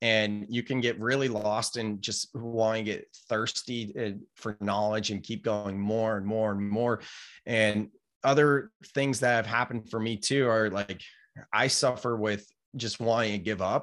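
An American-accented man speaks at medium pitch with a monotone, flat intonation. His pace is fairly slow, on a very clean recording with a silent background. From California, Silicon Valley. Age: 30s. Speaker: entrepreneur and author. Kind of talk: casual interview chat.

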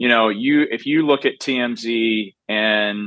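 A man with a medium pitch keeps his intonation fairly level in an ordinary speaking voice. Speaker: film director or filmmaker. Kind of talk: interview.

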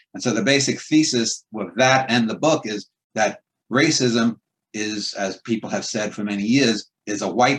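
A man with a New York accent speaks at a moderate pace. His voice is medium-pitched with ordinary pitch variation. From Queens, New York City. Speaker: poet and writer. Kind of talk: casual chat.

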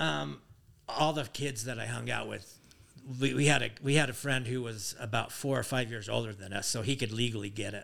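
Speaking at a fairly quick pace, a man with a medium-pitched voice shows vocal fry and ordinary pitch variation. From Utah. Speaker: father of the hosts. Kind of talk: casual chat.

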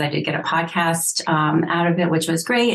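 A woman with a normal speaking voice at a fairly low pitch. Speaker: healthcare caregiver and author. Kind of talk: interview.

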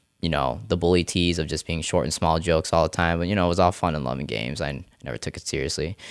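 A man with a very deep, low pitch and vocal fry speaks at a very fast pace, with ordinary pitch variation. He has an American accent, and the recording is very clean with a silent background. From US, Rochester, New York area. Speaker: natural bodybuilder and personal trainer. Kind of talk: casual interview. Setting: studio. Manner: animated.

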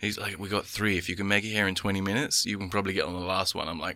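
This man has an English accent and a fairly low pitch. His tone is bright and sharp. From England. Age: 20s. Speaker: tandem instructor and skydiver. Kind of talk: casual chat.

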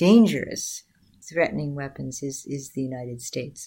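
Over a silent background in a very clean recording, a woman speaks with an American accent. Her pace is fairly slow and her pitch varies in an ordinary way. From US Midwest, southwest side of Chicago. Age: 60s. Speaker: peace activist. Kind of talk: interview.

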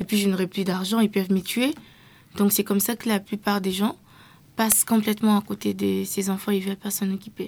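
A woman at medium pitch with monotone, flat intonation and a fairly quick pace, on a very clean recording with a silent background. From DR Congo, Kinshasa. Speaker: youth activist. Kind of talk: interview. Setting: studio.

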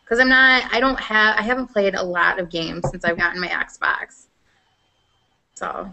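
A woman's fairly high voice with a Midwestern US accent. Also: ordinary pitch variation, moderate pace. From Iowa, US Midwest. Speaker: gaming podcast host. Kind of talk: casual chat.

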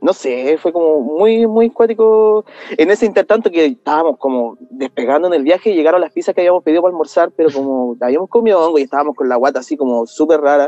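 Very fast and with hardly any pauses, a man speaks in a fairly high voice with a dark, mellow tone. His intonation is lively, and the sound is dry and close with no echo. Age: 30s. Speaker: podcast listener sharing story. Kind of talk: personal testimony. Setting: video call.

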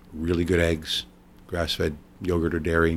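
This is a man speaking with an American accent. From US Northeast, New York State. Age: 60s. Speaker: chef. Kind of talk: casual chat.

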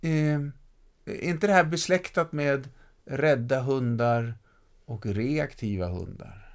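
Very slowly and with long, frequent pauses, a man speaks in lively intonation at a fairly high pitch. The recording is very clean, with a silent background. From Stockholm, Västerort. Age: 50s. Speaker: podcast host, lecturer. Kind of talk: casual chat.

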